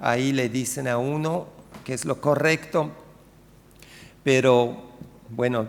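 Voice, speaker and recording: Audible room echo surrounds a man with a non-native accent and a medium pitch. He talks at a very slow pace with ordinary pitch variation and long, frequent pauses. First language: not Spanish (speaking Spanish). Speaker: sociolinguistics researcher. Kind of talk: conference talk. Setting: lecture hall with audience. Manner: hesitant, many fillers.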